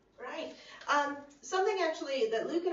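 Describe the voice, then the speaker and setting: With an American accent, a woman talks at a fairly quick pace and ordinary pitch variation, with audible room echo. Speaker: student election candidate. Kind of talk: election hustings answer. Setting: video conference.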